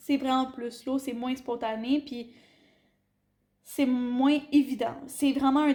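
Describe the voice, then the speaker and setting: With a Quebec accent, a woman talks very slowly in a high pitch, her dark, mellow tone held in a monotone, flat intonation broken by long, frequent pauses. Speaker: teacher on internship abroad. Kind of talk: casual chat. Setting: at home over dinner.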